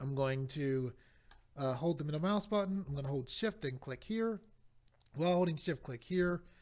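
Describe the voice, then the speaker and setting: Fairly high in pitch, a man speaks at a moderate pace in a plain, everyday voice. His pitch varies in an ordinary way. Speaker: 3D modeling tutorial maker. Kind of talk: software tutorial. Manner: step-by-step instructional.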